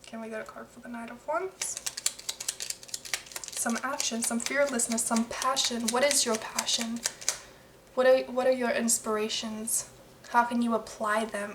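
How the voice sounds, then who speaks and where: A soft-spoken woman talks at a moderate pace in a fairly high pitch. Her intonation is monotone and flat, with noticeable background noise. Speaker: tarot reader. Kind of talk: tarot reading. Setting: at home late at night, others sleeping. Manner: halting.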